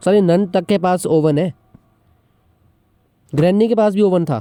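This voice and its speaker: With music in the background, a man with a Pahadi accent speaks at a high pitch with ordinary pitch variation. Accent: Pahadi-accented Hindi. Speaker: gaming vlogger. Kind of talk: gaming commentary. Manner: joking, casual.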